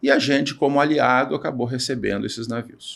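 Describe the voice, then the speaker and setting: Here a man with an unremarkable speaking voice talks at a medium pitch and a moderate pace, with ordinary pitch variation. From Brazil, Piracicaba (São Paulo state). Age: 60s. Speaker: naval engineer and entrepreneur. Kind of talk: podcast interview.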